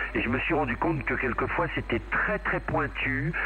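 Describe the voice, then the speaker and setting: A man talks at a moderate rate while noticeable noise runs in the background. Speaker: CB radio operator. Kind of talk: casual chat.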